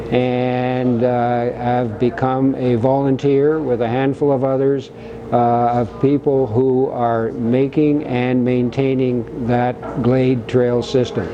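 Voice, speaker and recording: A man speaks at a very slow pace in a monotone, flat intonation. His loudness stays very even, hardly any pauses break it up, and noticeable background noise runs underneath. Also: medium pitch for a man. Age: 70s. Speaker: volunteer trail builder, skier. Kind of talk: documentary interview.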